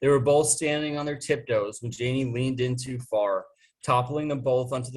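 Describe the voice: Fairly even intonation in a plain read-aloud passage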